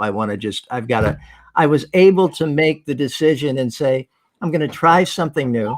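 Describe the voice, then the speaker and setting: An American accent comes from this man at a fairly quick pace. He has an unremarkable speaking voice. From New Jersey, Jersey Shore. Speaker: farmer, former TV professional. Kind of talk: casual chat.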